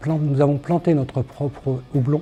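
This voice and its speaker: A man speaks in a dark, mellow tone that is somewhat breathy. His pace is very slow. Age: 60s. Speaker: craft brewery founder. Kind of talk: promotional testimony.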